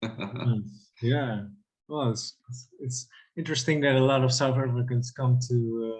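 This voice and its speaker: Somewhat breathy speech at a moderate pace, with fairly even intonation and long, frequent pauses. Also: man, medium pitch for a man. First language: Dutch. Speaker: interviewer. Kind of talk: interview.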